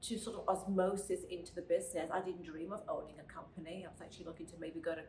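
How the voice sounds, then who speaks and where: With a British accent, a woman talks at a very fast pace with hardly any pauses in a fairly low voice whose loudness swings widely. Audible room echo and noticeable background noise surround her. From Britain. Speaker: podcast co-host, finance lender. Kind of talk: casual chat.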